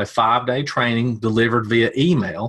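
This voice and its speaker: A man speaks in a Tennessee accent. His pace is moderate. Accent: Southern US, Tennessee. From Tennessee, US South. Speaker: media buyer. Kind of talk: casual interview.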